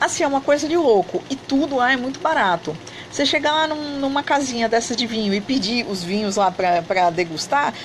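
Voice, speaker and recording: Over noticeable background noise, a woman speaks at a fairly quick pace with a fairly high pitch and very wide pitch swings. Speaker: online Turkish teacher and travel vlogger. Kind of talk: live stream chat. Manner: soft-spoken; animated.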